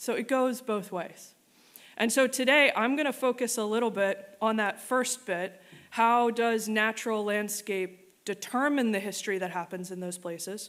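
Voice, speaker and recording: In a very clean recording with a silent background, a woman with a fairly high pitch talks at a moderate pace with ordinary pitch variation. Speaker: museum programs manager, keynote speaker. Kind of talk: keynote talk. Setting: stage with audience. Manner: loud; animated.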